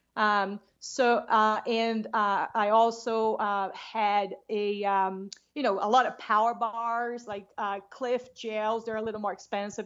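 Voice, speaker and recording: Very slow yet hardly pausing, a woman's fairly high, monotone, flat voice with a Brazilian accent. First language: Portuguese. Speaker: long-distance hiker. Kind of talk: casual interview.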